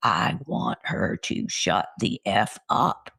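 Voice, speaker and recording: A put-on character voice, raspy and very slow. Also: man. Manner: angry, hostile.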